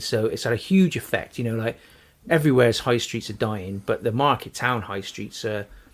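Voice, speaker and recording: The man speaks in a Wiltshire accent at a fairly quick pace. His pitch is medium, with ordinary pitch variation. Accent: West Country (Wiltshire). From Wiltshire, England. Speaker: podcast host. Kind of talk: casual debate. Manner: animated.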